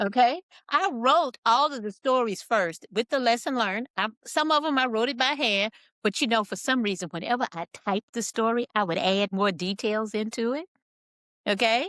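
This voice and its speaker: In a dry, close recording with no echo, a woman with a plain, everyday voice speaks at a moderate pace with lively intonation. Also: fairly high pitch for a woman. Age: 60s. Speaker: author and engineer. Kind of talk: interview.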